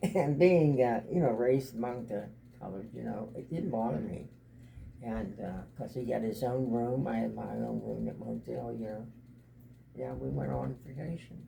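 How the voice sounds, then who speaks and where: There's audible room echo as a man delivers his words at a moderate pace. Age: 80s+. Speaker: grandfather and military veteran. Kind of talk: family interview, reminiscing. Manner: halting, repetitive.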